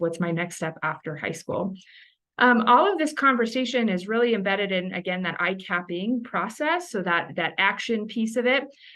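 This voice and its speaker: A woman talks at a fairly quick pace, her intonation lively. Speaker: education consultant, state career planning facilitator. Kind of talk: webinar presentation. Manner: fast.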